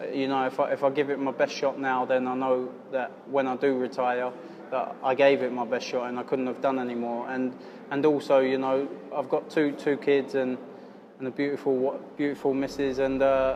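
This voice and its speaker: Over noticeable background noise, a man speaks fairly quickly at medium pitch in a flat monotone. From southern England, Surrey. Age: 20s. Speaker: professional boxer. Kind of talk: interview. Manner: halting, frequent repetitions and fillers.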